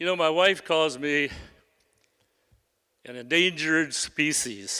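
Speaking at a very slow pace, a man uses a fairly high pitch and a bright, sharp tone. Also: ordinary pitch variation. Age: 90s. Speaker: war veteran speaking at public comment. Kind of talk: public comment at council meeting. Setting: city council chamber with audience.

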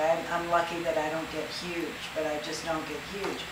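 A woman's voice sits fairly low in pitch. Noticeable background noise and audible room echo surround it. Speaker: fibromyalgia patient. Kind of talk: interview answer. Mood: upbeat, pleased. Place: home room. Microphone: camera far.

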